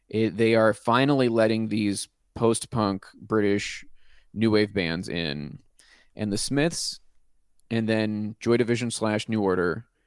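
A man with an American accent and a plain, everyday voice talks at a fairly slow pace against a quiet background. His pitch is fairly low with ordinary variation. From Pittsburgh, US. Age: 30s. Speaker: rock music podcast host. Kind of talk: casual chat.

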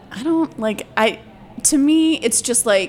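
Amid noticeable background noise, a woman with an American accent speaks at a fairly slow pace with lively intonation. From Georgia, US South. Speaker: stand-up comedian. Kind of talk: casual chat.

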